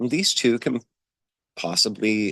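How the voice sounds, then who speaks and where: The man's voice sounds dry and close with no echo over a quiet background. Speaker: folk magic practitioner and vlogger. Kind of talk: casual vlog talk. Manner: halting, many fillers.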